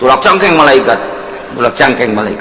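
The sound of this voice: With strong room echo, a man delivers a bright, sharp tone at a fairly high pitch and a moderate pace.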